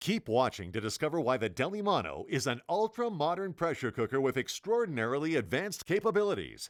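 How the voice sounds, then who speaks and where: A man's fairly quick, creaky voice with very wide pitch swings, dry and close with no echo, on a very clean recording with a silent background. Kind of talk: infomercial voice-over.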